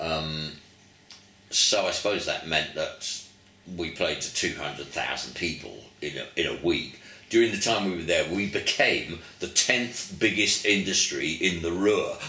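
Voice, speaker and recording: With an English accent, the speaker talks at a fairly slow pace over noticeable background noise, with audible room echo. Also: man. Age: 70s. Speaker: veteran rock musician. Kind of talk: casual interview reminiscence.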